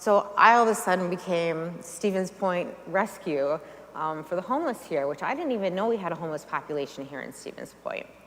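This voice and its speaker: A woman's fairly low voice with audible room echo. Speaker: nonprofit founder. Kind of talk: talk to a church audience. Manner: fast.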